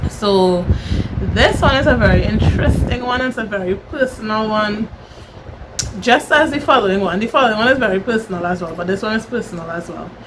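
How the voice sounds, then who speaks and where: Over noticeable background noise, a woman with a Trinidadian accent talks at a fairly quick pace, her pitch fairly high with ordinary variation. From Trinidad and Tobago. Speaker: vlogger. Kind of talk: personal vlog monologue.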